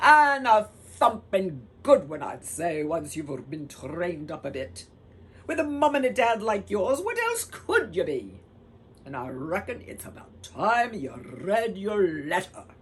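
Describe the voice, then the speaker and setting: Putting on a growling character voice, a woman speaks at medium pitch and a fairly slow pace. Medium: read story. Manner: gruff, folksy.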